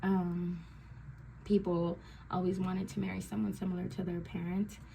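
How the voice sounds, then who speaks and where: Somewhat breathy and dark, mellow in tone, a woman's medium-pitched voice moves at a fairly slow pace. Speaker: tarot reader. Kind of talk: tarot reading. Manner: filler-heavy, many ums.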